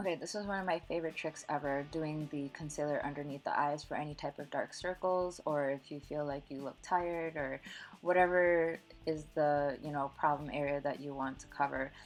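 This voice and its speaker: Music runs in the background as a woman talks in a very deep, low pitch. Her pace is fairly quick and her intonation fairly even. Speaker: makeup artist. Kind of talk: tutorial voice-over. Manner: casual, many filler words.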